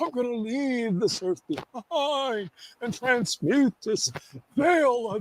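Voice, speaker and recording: A man speaks very slowly at an extremely high pitch, with lively intonation and a dry, close sound with no echo. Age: 70s. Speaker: guest on spiritual talk show. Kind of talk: casual chat.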